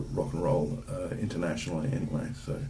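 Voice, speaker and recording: Over noticeable background noise and audible room echo, the speech moves at a very fast pace. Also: man. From Perth, Western Australia. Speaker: dramaturg and playwright. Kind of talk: casual interview. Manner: halting, many fillers.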